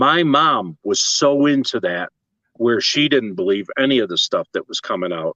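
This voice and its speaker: With an American accent, a man speaks at medium pitch in a bright, sharp tone, the sound dry and close with no echo. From western New York (Lockport). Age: 60s. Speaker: tintype artist. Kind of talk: casual interview chat.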